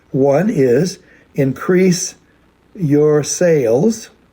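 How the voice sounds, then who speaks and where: The voice is dark and mellow in tone and somewhat breathy. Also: man. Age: 80s+. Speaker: company founder. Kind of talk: recorded address to a convention. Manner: halting, many fillers.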